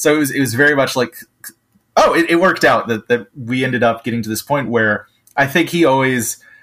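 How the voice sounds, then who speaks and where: Speaking at a fairly quick pace, a man has an ordinary speaking voice with medium pitch and ordinary pitch variation. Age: 30s. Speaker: comic book writer. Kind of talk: casual chat.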